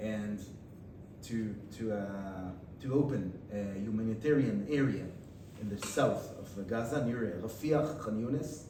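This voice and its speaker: Spoken at a very slow pace with an Israeli accent and ordinary pitch variation, the voice comes with audible room echo and noticeable background noise. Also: man. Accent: Israeli Hebrew. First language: Hebrew. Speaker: guest lecturer, father of a hostage. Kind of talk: Q&A discussion after a lecture. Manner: halting, many repeated words and fillers.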